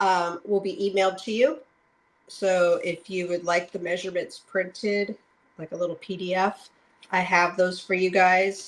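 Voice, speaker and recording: A woman talks at a moderate pace in a medium pitch, with fairly even intonation. It is a plain, everyday voice. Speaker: card-making crafter. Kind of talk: tutorial. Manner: casual, chatty.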